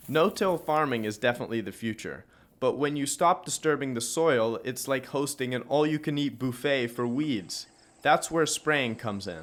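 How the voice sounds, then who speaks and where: In an American accent, a man with an unremarkable speaking voice talks at a moderate pace and medium pitch, with lively intonation, on a very clean recording with a silent background. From New York City. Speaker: travel show host. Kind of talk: scripted narration.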